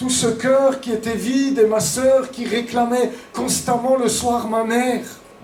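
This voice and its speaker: Through audible room echo and noticeable background noise, a man with an Alsatian accent speaks at a very slow pace in an extremely high pitch with fairly even intonation. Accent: eastern French (Alsatian-tinged). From eastern France, Franche-Comté and Strasbourg. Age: 50s. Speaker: pastor. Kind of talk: testimony. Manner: hesitant, many fillers.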